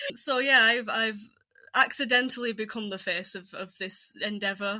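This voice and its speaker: Talking fairly quickly, a woman uses a Yorkshire accent. Her tone is bright and sharp, with ordinary pitch variation. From Yorkshire, northern England. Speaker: folklore researcher. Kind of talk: podcast interview.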